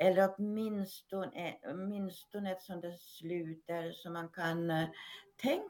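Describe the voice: The delivery is plain reading aloud. Its intonation stays fairly even.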